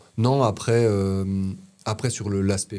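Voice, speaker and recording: In a fairly low pitch, a man speaks with monotone, flat intonation and a dark, mellow tone. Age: 30s. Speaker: former heating tradesman recovering from spine fracture. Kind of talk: casual chat. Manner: halting.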